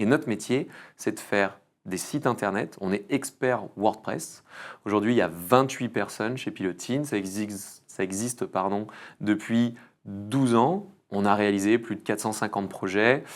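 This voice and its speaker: A man's normal speaking voice, fairly low in pitch with ordinary pitch variation, at a fairly slow pace in a very clean recording with a silent background. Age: 30s. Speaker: entrepreneur, agency founder. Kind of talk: podcast interview. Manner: casual, filler-heavy.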